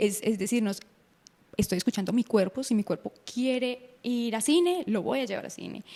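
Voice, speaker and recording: Dark and mellow in tone, the voice has vocal fry and ordinary pitch variation. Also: woman. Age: 20s. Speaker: breast cancer survivor and content creator. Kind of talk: interview.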